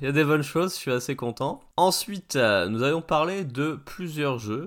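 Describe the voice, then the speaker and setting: A man speaks with a bright, sharp tone on a very clean recording with a silent background. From France, Paris region. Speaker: retro video game podcaster. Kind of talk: casual solo commentary. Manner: informal, swearing-laced.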